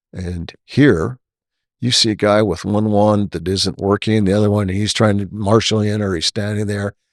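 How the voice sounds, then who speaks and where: With a plain, everyday voice, a man speaks at a fairly low pitch and moderate pace with fairly even intonation, in a dry, close sound with no echo. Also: very clean recording, silent background. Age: 60s. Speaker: podcast host and retired airline pilot, flight instructor. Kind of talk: casual interview conversation.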